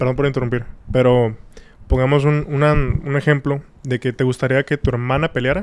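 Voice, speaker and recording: At a fairly quick pace, a man speaks at medium pitch. His intonation is fairly even and his loudness very even. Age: 20s. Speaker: podcast guest. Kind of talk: casual chat.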